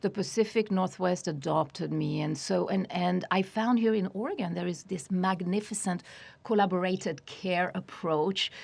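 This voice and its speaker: With vocal fry and a medium pitch, a woman speaks at a moderate pace with ordinary pitch variation in a very clean recording against a silent background. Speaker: hypnotherapist. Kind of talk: interview. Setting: studio.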